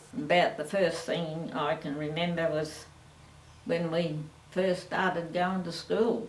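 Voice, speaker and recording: A woman with an Australian accent, fairly low in pitch and fairly slow, with ordinary pitch variation, noticeable background noise and audible room echo. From Australia, French Island, Victoria. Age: 80s+. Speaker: family elder. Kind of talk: oral history interview.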